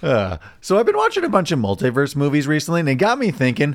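At a very fast pace, the voice makes very wide pitch swings over a very clean recording with a silent background. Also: man. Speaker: podcast co-host. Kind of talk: casual chat.

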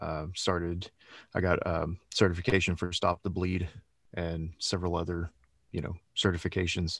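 A man with a Texan accent and a very deep, low pitch, monotone and flat in intonation, at a moderate pace with long, frequent pauses, in a very clean recording with a silent background. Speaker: executive protection specialist and firearms instructor. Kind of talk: interview.

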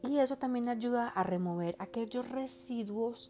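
With a dark, mellow tone, a woman talks at a fairly slow pace and with ordinary pitch variation. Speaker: makeup artist and hairstylist. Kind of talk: beauty tips monologue.

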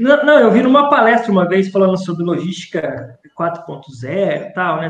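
A man talks at a fairly slow pace in a high voice. His pitch swings are very wide. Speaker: podcast co-host, logistics teacher. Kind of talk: casual chat. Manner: animated.

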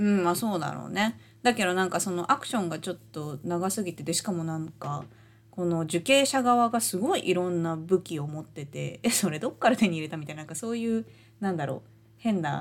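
A woman with a Japanese accent talks at a very fast pace in a fairly low voice, her intonation lively. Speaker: podcast co-host. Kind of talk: casual chat.

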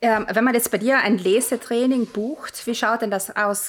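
Here a woman is speaking. She has a slight South Tyrolean accent. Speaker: podcast host, author. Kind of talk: casual interview.

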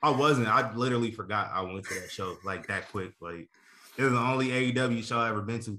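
A man with an American accent, fairly quick in pace and bright, sharp in tone. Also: medium pitch for a man, ordinary pitch variation. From Nebraska. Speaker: wrestling podcast host. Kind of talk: casual chat.

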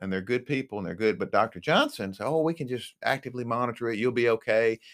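This is an unremarkable speaking voice: a man at medium pitch, talking fairly quickly with lively intonation. The recording is very clean with a silent background, dry and close with no echo. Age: 50s. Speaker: marriage and family therapist, cancer patient. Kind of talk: interview testimony.

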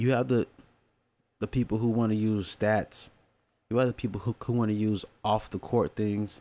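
A man at a moderate pace with long, frequent pauses, his loudness very even, in a dry, close sound with no echo. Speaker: sports podcaster. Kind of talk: solo commentary. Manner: animated.

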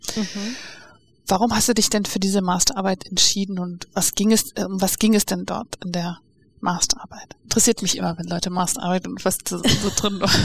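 A woman's medium-pitched voice with vocal fry, fairly even intonation and a moderate pace. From Namibia. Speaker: podcast host. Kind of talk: interview. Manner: laughs often.

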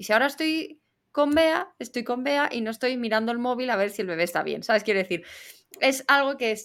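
A woman speaks in a plain, everyday voice. Her intonation is lively and her pace fairly quick. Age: 20s. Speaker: podcast co-host. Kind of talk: casual chat.

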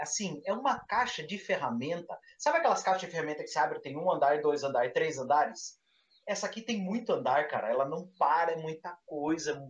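Animated in tone, a man with a high voice speaks at a fairly quick pace with lively intonation. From interior of São Paulo state, Brazil. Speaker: tabletop RPG podcast co-host. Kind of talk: casual chat.

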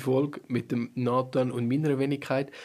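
His intonation stays monotone and flat. This man talks at a medium pitch. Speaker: podcast host. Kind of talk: casual chat. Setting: team weekend retreat.

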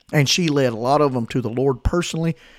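A man with a Southern US accent and lively intonation, on a very clean recording with a silent background and a dry, close sound with no echo. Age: 40s. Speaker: pastor. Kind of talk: sermon.

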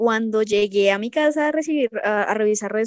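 This woman has a normal speaking voice at medium pitch, speaking at a moderate pace. The sound is dry and close, with no echo. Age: 20s. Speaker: K-pop fan. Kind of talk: casual interview.

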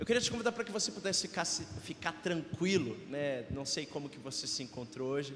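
With a Brazilian accent, a man at a fairly high pitch talks at a fairly quick pace with hardly any pauses and very wide pitch swings, amid noticeable background noise and audible room echo. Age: 20s. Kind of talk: sermon. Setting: church hall livestream.

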